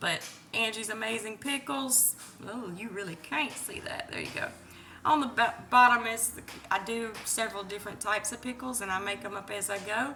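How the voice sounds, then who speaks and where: A woman talks fairly quickly at a fairly high pitch with ordinary pitch variation, amid noticeable background noise and audible room echo. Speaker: home cook vlogger. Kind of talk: cooking tutorial. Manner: casual, chatty.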